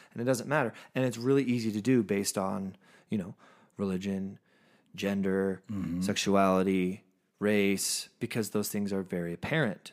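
At a moderate pace, a man with a fairly low pitch and ordinary pitch variation speaks on a very clean recording with a silent background. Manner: animated.

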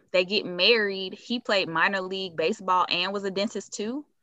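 A woman with an American accent speaks in a normal speaking voice at a medium pitch and moderate pace, her intonation fairly even. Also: hardly any pauses. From Chicago. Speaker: podcast guest. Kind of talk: casual chat.

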